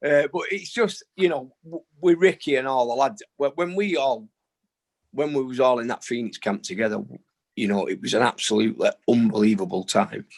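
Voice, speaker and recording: With a Manchester accent, a man talks at a moderate pace with very wide pitch swings, the sound dry and close with no echo. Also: medium pitch for a man. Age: 60s. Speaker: boxing trainer. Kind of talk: interview. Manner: casual, uses fillers.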